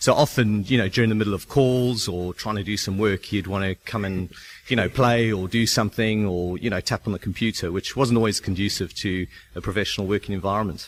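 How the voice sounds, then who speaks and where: In a very clean recording with a silent background, a man with a fairly low pitch talks at a fairly quick pace with fairly even intonation. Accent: South African. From South Africa. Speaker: start-up founder. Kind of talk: radio interview. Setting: on location at shared office.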